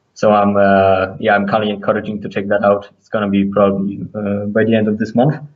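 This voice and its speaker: A man with a non-native accent, fairly low in pitch, at a fairly quick pace. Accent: non-native English accent, audible. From Poland. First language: Polish. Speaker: cryptocurrency trader. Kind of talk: podcast interview. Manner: halting, many fillers and restarts.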